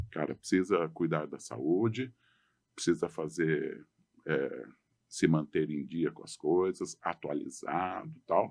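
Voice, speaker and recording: The man speaks at a very slow pace, his loudness swinging widely. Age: 60s. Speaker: adventurer, long-distance walker. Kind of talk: podcast interview.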